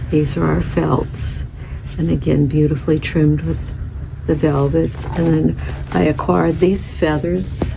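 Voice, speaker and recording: Soft-spoken and at a fairly slow pace, a woman keeps her loudness very even against noticeable background noise. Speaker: boutique owner. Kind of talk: showing store merchandise.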